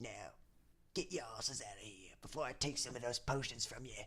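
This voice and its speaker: A man's put-on character voice, raspy, gruff and growling, at a medium pitch with lively intonation, big swings in loudness and a fairly quick pace. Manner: snarling, gruff.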